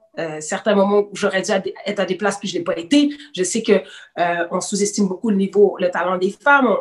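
This is an unremarkable speaking voice. Its pitch variation is ordinary. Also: woman. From Quebec City, partly raised in Senegal. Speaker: rapper. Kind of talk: casual chat.

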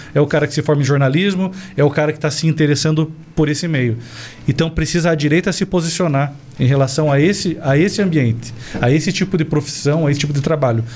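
Talking at a very fast pace, a man keeps his fairly high pitch on fairly even intonation and his loudness very even. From Brazil, Paraná (Cascavel). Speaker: political commentator, former sales representative. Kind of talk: political talk show discussion. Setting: studio, live stream.

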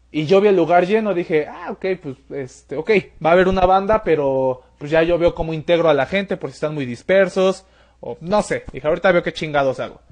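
Speaking at a fairly quick clip, a man uses a high voice with ordinary pitch variation. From Mexico City. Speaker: podcast host. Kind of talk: casual interview.

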